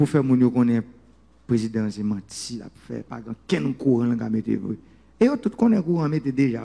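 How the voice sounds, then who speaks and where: Using ordinary pitch variation at a medium pitch, a man speaks at a moderate pace with a dark, mellow tone, big swings in loudness and long, frequent pauses. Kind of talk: political speech.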